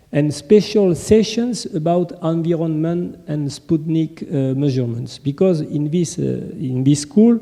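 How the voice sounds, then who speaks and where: At a fairly slow pace with hardly any pauses, a man speaks in a dark, mellow, fairly high voice with lively intonation. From France. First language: French. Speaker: conference presenter. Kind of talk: conference presentation. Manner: halting.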